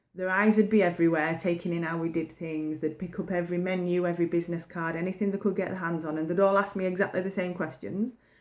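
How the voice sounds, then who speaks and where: A woman with a fairly low pitch talks very fast, with hardly any pauses and a monotone, flat intonation. The recording is very clean with a silent background. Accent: northern English. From northern England, pit village. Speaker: baking business coach. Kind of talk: motivational talk to camera. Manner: casual, conversational.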